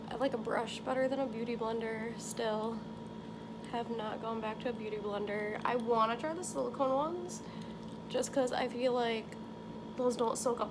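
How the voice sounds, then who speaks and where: A woman talks at a moderate pace with a fairly high pitch and fairly even intonation. The room echo is audible, and there is noticeable background noise. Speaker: beauty vlogger. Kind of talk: tutorial. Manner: casual, filler-heavy; loud.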